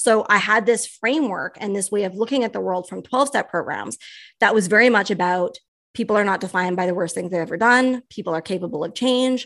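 A woman with an unremarkable speaking voice talks at a fairly quick pace and medium pitch. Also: quiet background. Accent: Canadian. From Canada. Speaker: writer and educator. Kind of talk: interview.

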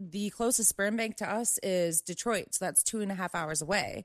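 Against a quiet background, a woman with an American accent and an unremarkable speaking voice talks at medium pitch with ordinary pitch variation, the sound dry and close with no echo. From US, Maryland. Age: 20s. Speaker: veteran, nonprofit worker. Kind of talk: casual chat.

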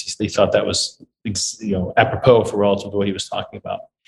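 This man talks at a fairly quick clip. He speaks with a Midwestern US accent. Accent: US Midwest. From St. Louis, Missouri (Webster Groves). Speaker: business executive. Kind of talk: casual interview chat.

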